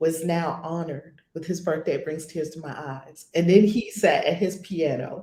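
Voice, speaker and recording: A woman with an American accent amid audible room echo. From New York. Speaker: spiritual teacher. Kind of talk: casual chat.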